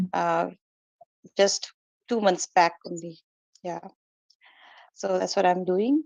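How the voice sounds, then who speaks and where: This woman's voice sits at a medium pitch. It rises and falls in an ordinary way. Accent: Indian. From India, Kolkata. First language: Hindi. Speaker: meditation practitioner, former teacher. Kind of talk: personal testimony in online meeting. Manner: halting, many fillers.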